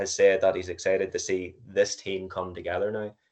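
Against a quiet background, a man speaks fairly quickly. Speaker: podcast co-host. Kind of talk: casual chat.

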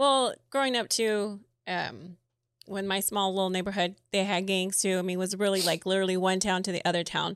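A woman at medium pitch and a fairly quick pace, with fairly even intonation and an ordinary speaking voice, in a very clean recording with a silent background. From US, Mexican American community. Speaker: podcast co-host. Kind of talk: casual chat.

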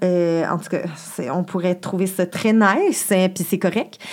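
With ordinary pitch variation, a woman talks at a very slow pace. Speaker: sexologist. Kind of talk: casual chat.

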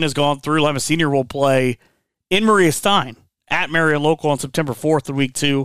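A man speaks with an American accent in a normal speaking voice. His pitch is fairly high, and his pace is moderate. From Northwest Ohio. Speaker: podcast host. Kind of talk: interview, casual conversation.

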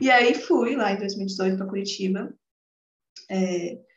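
A woman speaks in a medium pitch, somewhat breathy, with fairly even intonation. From Brazil, interior of São Paulo state. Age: 20s. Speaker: psychologist and holistic therapist. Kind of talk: casual interview.

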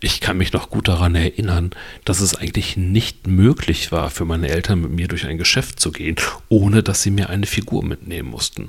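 On a very clean recording with a silent background, a man with a very deep, low pitch and vocal fry speaks with ordinary pitch variation. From western Germany, Lower Rhine / Ruhr area border. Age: 40s. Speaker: podcast host. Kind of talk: solo podcast monologue. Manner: casual, with filler words.

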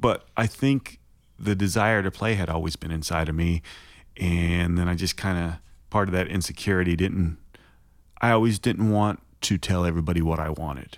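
A man with an Oklahoma accent speaks in a very deep, low pitch. His pace is moderate and his pitch variation ordinary. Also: very clean recording, silent background. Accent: Oklahoman. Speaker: songwriter. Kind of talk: casual interview chat.

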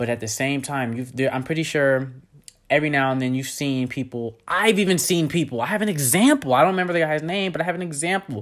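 A man speaks very fast at a fairly high pitch, with ordinary pitch variation. The recording is very clean, with a silent background. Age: 20s. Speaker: podcast host. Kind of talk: solo educational monologue. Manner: casual with frequent filler words; animated.

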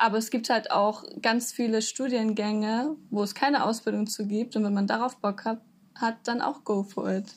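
Somewhat breathy speech from a woman, fairly high in pitch, at a moderate pace with fairly even intonation. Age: 20s. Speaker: university student. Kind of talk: interview. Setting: video call.

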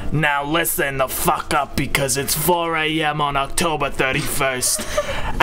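A man puts on a character voice at a fairly high pitch, moving at a fairly slow pace with hardly any pauses. Loud background noise runs behind him. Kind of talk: comic overacting in a casual group reading. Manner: crude, impatient, commanding.

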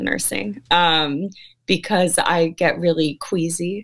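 A woman's fairly low voice with an American accent and ordinary pitch variation. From San Francisco Bay Area, California. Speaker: actress. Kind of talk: interview. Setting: live stream video call.

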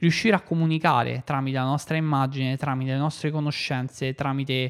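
Dry, close sound with no echo around a man at a moderate pace, fairly high pitch and ordinary pitch variation. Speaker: podcast host and app developer. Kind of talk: solo podcast monologue. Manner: halting, frequent fillers and repetitions.

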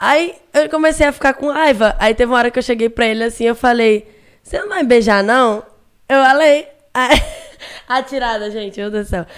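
A woman speaks in a high voice with a Pernambuco accent. Her pitch varies in an ordinary way, with long, frequent pauses. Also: moderate pace. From Recife, Brazil. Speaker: internet personality. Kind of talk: casual chat. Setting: studio. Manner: animated.

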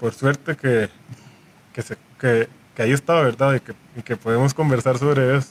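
Delivered at a moderate pace with fairly even intonation and long, frequent pauses, the voice has a dry, close sound with no echo. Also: man, medium pitch for a man. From Costa Rica, San José. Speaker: calypso musician. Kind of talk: radio panel discussion. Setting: studio.

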